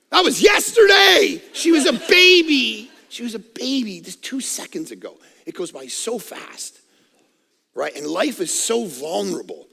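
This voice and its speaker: With a raised, projected voice and an animated tone, a man speaks at a fairly slow pace, his extremely high pitch making very wide swings and his loudness shifting a lot. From Canada. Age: 40s. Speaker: pastor. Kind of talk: sermon.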